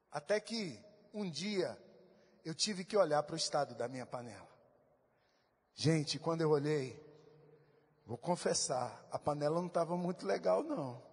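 Speaking at a moderate pace with long, frequent pauses, a man uses lively intonation in a fairly high voice. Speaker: pastor. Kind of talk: sermon. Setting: church. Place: church. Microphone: handheld.

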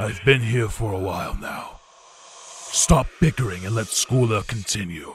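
A man puts on a character voice, talking at medium pitch and a moderate pace. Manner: stern, authoritative.

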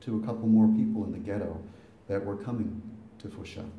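There is audible room echo as a man with an American accent speaks at a fairly low pitch. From Boston. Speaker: son of the deceased giving eulogy. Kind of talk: eulogy. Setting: funeral with audience. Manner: talkative. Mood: solemn, somber. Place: hall. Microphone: camera far.

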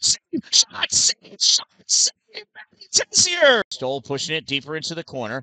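A man speaks in an animated, bright, sharp tone at a fairly high pitch and a moderate pace. The sound is dry with no echo. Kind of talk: live commentary. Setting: youth girls hockey game broadcast. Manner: animated, excitable on saves and near-misses. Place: stadium.

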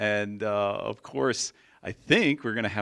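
The man's pitch varies in an ordinary way, and the background is quiet. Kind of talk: introductory speech. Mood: warm, smiling. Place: hall. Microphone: handheld.

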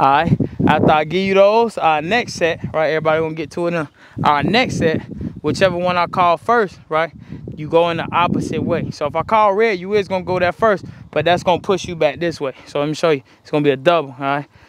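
Over noticeable background noise, a man speaks very fast with ordinary pitch variation in a dry sound with no echo. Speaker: football skills coach. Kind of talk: coaching instruction. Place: open country.

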